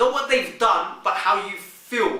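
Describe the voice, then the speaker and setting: Over noticeable background noise, a man speaks in a raised, projected voice, with audible echo from the room. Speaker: vlogger giving relationship advice. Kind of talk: monologue to camera.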